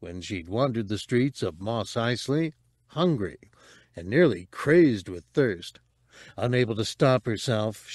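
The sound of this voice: An unforced reading voice is heard here.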